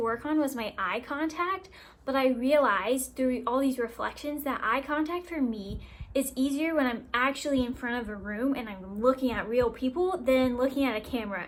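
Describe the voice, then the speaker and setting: A woman talks at a high pitch and a fairly quick pace. Her tone is upbeat and excited, with lively intonation. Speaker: college student. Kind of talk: class assignment video reflection. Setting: self-recorded to camera. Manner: upbeat, excited-sounding.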